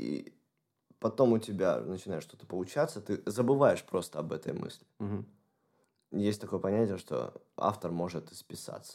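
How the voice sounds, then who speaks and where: A man speaks at a moderate pace with vocal fry, lively intonation and big swings in loudness. Long, frequent pauses break up his speech. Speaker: guitarist and songwriter. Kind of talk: casual interview chat.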